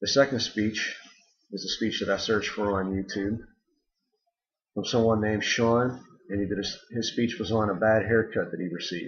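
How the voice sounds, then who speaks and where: A man speaks at a moderate pace in a fairly low, somewhat breathy voice. His intonation is fairly even, and he leaves long, frequent pauses. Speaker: student. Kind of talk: spoken assignment critique. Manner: monotone; hesitant with ums.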